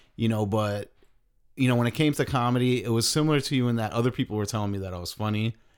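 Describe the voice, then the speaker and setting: On a very clean recording with a silent background, a man talks very fast at medium pitch with ordinary pitch variation. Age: 40s. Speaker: podcast host. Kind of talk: casual chat.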